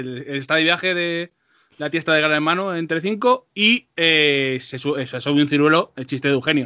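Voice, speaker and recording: Fairly high in pitch, a man is speaking. His pitch variation is ordinary. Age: 30s. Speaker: podcast host. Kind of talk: casual chat. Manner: animated.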